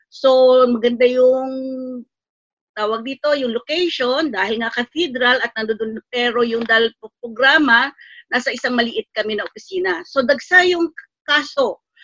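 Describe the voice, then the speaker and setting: A woman with a high, bright, sharp voice speaks fairly slowly with ordinary pitch variation, the sound dry and close with no echo. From Philippines. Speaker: NGO worker for migrant workers. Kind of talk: interview.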